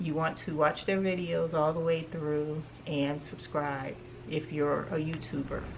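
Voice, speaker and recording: A woman talks at a fairly slow pace with a very deep, low pitch. Audible room echo surrounds her voice. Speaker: home decor YouTuber. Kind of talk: shopping haul vlog.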